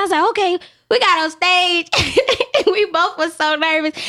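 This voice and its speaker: A woman with an American accent, ordinary pitch variation and noticeable background noise. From Memphis, US South. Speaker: photographer. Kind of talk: casual chat. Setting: studio.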